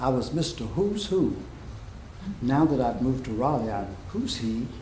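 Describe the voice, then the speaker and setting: Lively intonation marks this man's medium-pitched voice at a moderate pace, with audible room echo. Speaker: pastor. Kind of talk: sermon. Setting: church.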